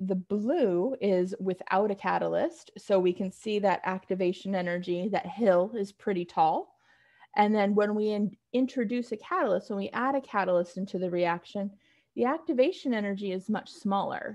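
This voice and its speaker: Here a woman talks at a moderate pace and medium pitch in an unremarkable speaking voice, with ordinary pitch variation. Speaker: chemistry instructor. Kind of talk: lecture.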